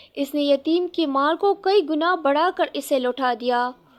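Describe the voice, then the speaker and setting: A woman speaks with ordinary pitch variation. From Pakistan. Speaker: voice over artist. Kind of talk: religious story narration.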